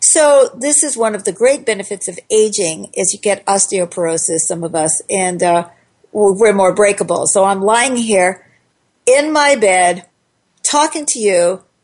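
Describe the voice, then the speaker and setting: In an unremarkable speaking voice, a woman with medium pitch talks at a fairly slow pace using lively intonation. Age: 60s. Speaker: talk radio host. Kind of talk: call-in radio talk show.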